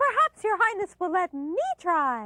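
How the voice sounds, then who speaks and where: In a cartoonish character voice, a woman squeaks at an extremely high pitch with very wide pitch swings. She keeps a moderate pace, and the sound is dry and close with no echo. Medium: puppet show. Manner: polite, eager.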